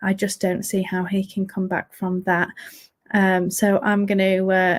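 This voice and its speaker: A woman speaks at a fairly slow pace in an English accent, her pitch medium and her intonation fairly even. The recording is very clean, with a silent background. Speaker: fantasy football podcast host. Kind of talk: solo podcast review. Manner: monotone.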